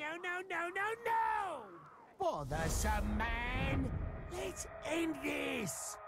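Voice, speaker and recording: A man shouts in a put-on character voice at a very slow pace. Loud background noise fills the recording. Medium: dub. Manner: frantic, angry, shouting.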